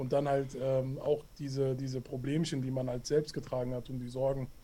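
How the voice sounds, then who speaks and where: The delivery comes at a fairly quick pace in a dark, mellow tone. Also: man. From Hessen, Hanau. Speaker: anti-racism education activist. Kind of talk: interview. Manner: halting, many fillers.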